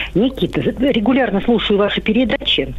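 With noticeable noise behind her, a woman speaks at a moderate pace. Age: old. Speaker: caller, grandmother. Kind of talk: phone-in question. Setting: phone call.

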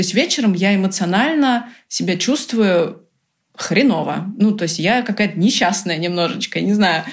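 At a moderate pace, a woman with a medium pitch speaks in an animated tone, somewhat breathy and with ordinary pitch variation. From Brazil. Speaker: entrepreneur. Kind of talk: interview.

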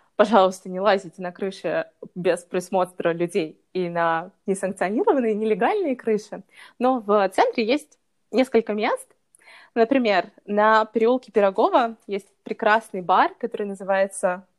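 Heard in a dry, close sound with no echo on a very clean recording with a silent background, a woman with an unremarkable speaking voice and a medium pitch speaks at a fairly slow pace with ordinary pitch variation. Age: 20s. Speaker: lifestyle blogger. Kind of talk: casual interview chat.

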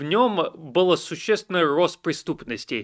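A man's high-pitched voice with lively intonation at a very slow pace, on a very clean recording with a silent background. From US, Washington DC suburbs. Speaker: journalist. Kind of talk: interview on a livestream.

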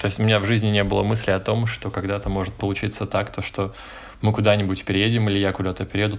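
Here a man speaks with a fairly low pitch. His intonation is monotone and flat. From Moscow, Russia. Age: 20s. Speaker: emigrant. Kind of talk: casual chat.

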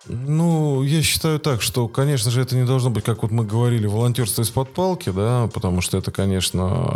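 A man speaks with lively intonation at a moderate pace as music plays in the background. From Russia, Voronezh. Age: 40s. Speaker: volunteer organizer of weekly park runs. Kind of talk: casual interview.

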